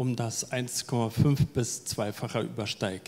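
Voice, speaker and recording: Speaking at a very slow pace, a man lets his pitch vary in an ordinary way. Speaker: event moderator. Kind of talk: moderated panel discussion with audience. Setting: live event hall with audience and online stream. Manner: halting, many filler words. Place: hall. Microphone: handheld.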